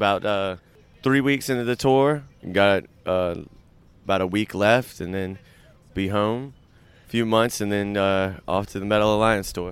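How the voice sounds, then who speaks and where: A man with a Southern US accent and fairly low pitch, moderate pace, ordinary pitch variation, and long, frequent pauses. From US South, Savannah, Georgia. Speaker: metal band drummer and singer. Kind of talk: casual chat. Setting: outdoors by a waterway in Brooklyn.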